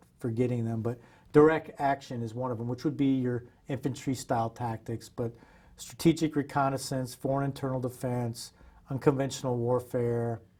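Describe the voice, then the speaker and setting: Dark, mellow tone with an American accent. The intonation stays monotone and flat. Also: man, medium pitch for a man, moderate pace. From Iowa, USA. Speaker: Special Forces veteran. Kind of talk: oral history interview answer. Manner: casual, conversational.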